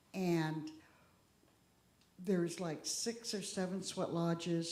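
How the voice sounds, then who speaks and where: A woman's dark, mellow voice at a fairly slow pace, with audible room echo. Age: 60s. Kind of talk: talk at a church service.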